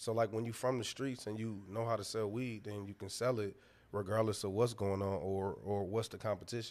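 An unremarkable speaking voice from a man with an American accent, fairly low in pitch and fairly even in intonation, at a fairly quick pace on a very clean recording with a silent background. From Detroit, US. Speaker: founder of a cannabis drink company. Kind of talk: casual interview chat.

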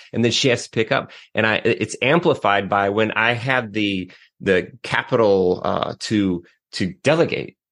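Here is a man at a medium pitch with a plain, everyday voice, talking at a fairly slow pace. His loudness stays very even and his pitch varies in an ordinary way. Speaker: podcast host. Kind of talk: casual interview.

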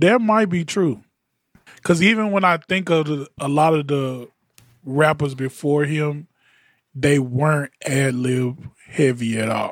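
Delivered in a plain, everyday voice, the speech moves at a fairly slow pace with ordinary pitch variation. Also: man, fairly high pitch for a man. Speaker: podcast host and music producer. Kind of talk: casual panel chat about audio and music.

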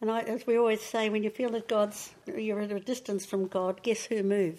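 A woman talks with a New Zealand accent. Her pitch is fairly high. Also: very clean recording, silent background. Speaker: churchgoer sharing faith testimony. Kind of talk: testimony interview.

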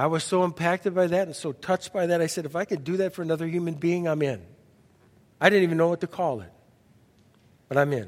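Talking at a very fast pace with a high pitch, a man keeps his intonation fairly even and leaves long, frequent pauses. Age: 60s. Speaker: pastor. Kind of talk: sermon. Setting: church.

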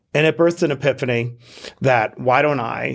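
Speaking with an American accent, a man uses lively intonation and vocal fry. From Queens, New York. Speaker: entrepreneur and author. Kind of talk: interview conversation.

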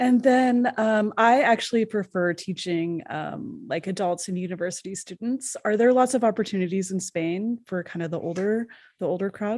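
A woman's normal speaking voice, medium in pitch, with ordinary pitch variation, a moderate pace and hardly any pauses. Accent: Canadian. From Canada. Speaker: podcast host. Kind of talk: interview.

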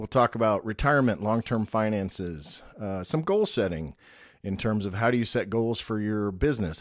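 A normal speaking voice at a moderate pace, with ordinary pitch variation. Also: man. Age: 50s. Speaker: podcast host and business owner. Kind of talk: solo podcast introduction. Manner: casual with frequent filler words.

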